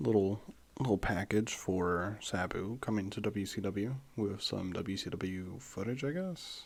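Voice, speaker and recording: A quiet man's voice, fairly low in pitch, at a fairly slow pace with ordinary pitch variation. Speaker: wrestling watch-along streamer. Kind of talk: casual commentary. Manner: quiet, low; halting.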